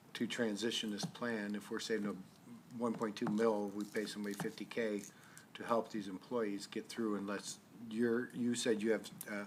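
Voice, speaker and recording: Talking at a fairly quick pace, a man with a fairly low pitch keeps a monotone, flat intonation, and audible room echo can be heard. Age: 60s. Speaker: city council member, deputy mayor. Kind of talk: council meeting discussion. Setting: council chamber meeting. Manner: halting, repeats words.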